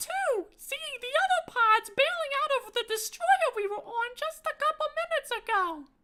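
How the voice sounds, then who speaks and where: A woman's squeaky, put-on character voice at an extremely high pitch, with lively intonation and a moderate pace. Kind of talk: tabletop game narration. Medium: actual play.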